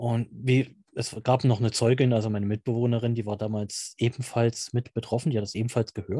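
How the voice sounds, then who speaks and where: This man talks at a fairly quick pace with hardly any pauses, his dark, mellow voice somewhat breathy and flat in intonation, recorded dry and close with no echo against a quiet background. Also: medium pitch for a man. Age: 30s. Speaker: amateur paranormal investigator. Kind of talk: interview.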